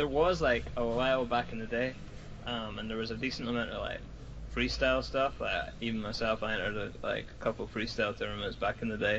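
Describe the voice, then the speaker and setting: A man with a slight Scottish accent talks at a fairly quick pace. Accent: light Scottish. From Scotland. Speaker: battle rapper. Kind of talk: casual chat.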